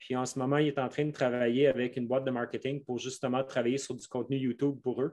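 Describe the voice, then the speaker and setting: Barely pausing at all, a man with a Quebec accent talks at a medium pitch in a monotone, flat delivery. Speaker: mountain bike coach. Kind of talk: podcast interview. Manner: slow, careful.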